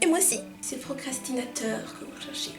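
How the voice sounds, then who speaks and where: A woman is whispering with music in the background. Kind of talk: casual talk to camera. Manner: whispered, poorly articulated.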